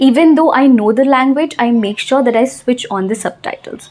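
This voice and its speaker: A high-pitched woman with a Telugu accent at a moderate pace, over noticeable background noise. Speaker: English teacher. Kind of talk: tutorial.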